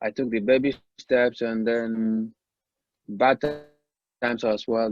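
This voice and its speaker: Music plays in the background as a man speaks at a medium pitch, his voice dry and close with no echo. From Nigeria, Anambra State (southeast). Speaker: independent musician. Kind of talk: podcast interview. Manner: halting, many fillers.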